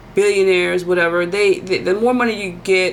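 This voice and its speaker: Over noticeable background noise, a woman talks at a fairly quick pace in an animated tone with a fairly low pitch. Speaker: tarot reader and soul coach. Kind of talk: monologue prediction reading. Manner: fast.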